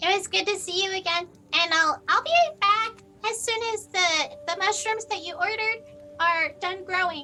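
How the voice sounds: Using a put-on character voice, a woman speaks at a moderate pace with an extremely high pitch, a bright, sharp tone and lively intonation.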